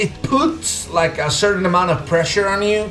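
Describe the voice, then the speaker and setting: A man with a non-native accent talks at a fairly quick pace in an animated tone, his pitch varying in an ordinary way. Noticeable background noise and audible room echo are present. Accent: foreign. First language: not English. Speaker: gaming YouTuber and language teacher. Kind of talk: casual gaming commentary.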